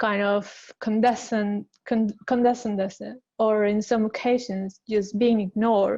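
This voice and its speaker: A woman speaks at a fairly slow pace with a non-native accent. Her voice is fairly high, with a dark, mellow tone. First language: not English. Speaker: designer. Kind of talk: panel discussion. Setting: webinar. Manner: halting.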